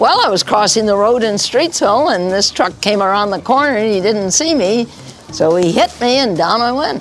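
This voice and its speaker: A woman with a fairly high voice talks at a moderate pace, her pitch swinging very widely. Noticeable background noise is present. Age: 80s+. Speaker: mayor. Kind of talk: interview answer.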